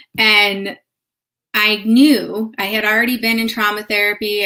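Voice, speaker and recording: Her tone is bright and sharp, with a slight Chicago accent. The woman is heard on a very clean recording with a silent background. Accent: slight Chicago accent on certain words. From US Midwest, north suburbs of Chicago. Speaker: yoga therapist. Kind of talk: live stream talk with personal story. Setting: live video stream. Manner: casual, conversational.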